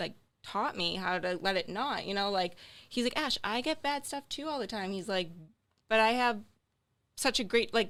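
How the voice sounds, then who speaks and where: Speaking in a strong Boston accent, a woman with a fairly high pitch uses an animated tone and lively intonation at a moderate pace, with long, frequent pauses, in a very clean recording with a silent background. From Boston area, Massachusetts. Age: 20s. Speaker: social media creator and healthcare worker. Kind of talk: casual podcast interview.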